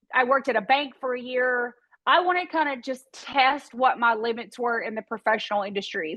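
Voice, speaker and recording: In a Tennessee accent, a woman talks at a high pitch with ordinary pitch variation. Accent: Southern US (Tennessee). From East Tennessee. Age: 40s. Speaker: real estate broker and entrepreneur. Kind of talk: interview conversation.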